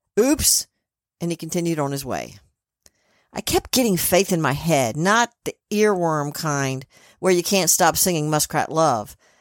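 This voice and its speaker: A fairly low-pitched woman at a fairly slow pace, in a very clean recording with a silent background and a dry, close sound with no echo. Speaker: spirit medium podcast host. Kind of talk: podcast intro and medium reading.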